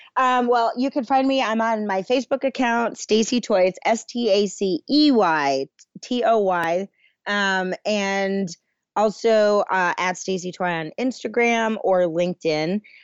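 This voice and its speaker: Lively intonation in a woman's plain, everyday voice, pitched in the middle range. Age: 30s. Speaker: film producer. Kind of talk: interview.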